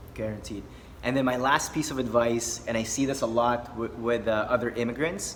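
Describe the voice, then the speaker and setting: Delivered at a fairly quick pace with fairly even intonation, the voice comes through audible room echo and noticeable background noise. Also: man, medium pitch for a man. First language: not English. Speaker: dating coach. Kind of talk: casual chat.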